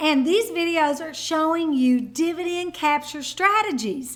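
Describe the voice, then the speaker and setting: Raising and projecting her voice, a woman with an American accent speaks at a high pitch in a bright, sharp, animated tone with lively intonation. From Kentucky. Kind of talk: casual explainer vlog.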